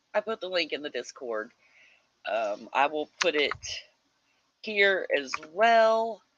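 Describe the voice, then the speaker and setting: Very slow, American-accented speech with very wide pitch swings, long and frequent pauses, and a dry, close sound with no echo. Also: woman, fairly low pitch for a woman. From US Midwest. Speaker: livestream host of writing sprints. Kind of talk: casual livestream chat reading viewer comments. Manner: animated.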